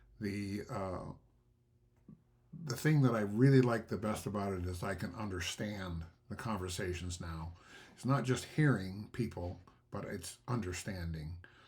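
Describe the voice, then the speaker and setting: A man's somewhat breathy voice at a fairly slow pace, with ordinary pitch variation and long, frequent pauses. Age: 70s. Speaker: hearing aid customer. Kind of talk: testimonial. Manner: halting, many fillers.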